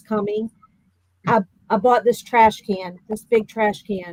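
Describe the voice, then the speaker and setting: Speaking at a fairly slow pace, a woman has a dark, mellow tone, a fairly high pitch and fairly even intonation. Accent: Virginia. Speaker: bereaved mother. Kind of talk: interview. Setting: podcast.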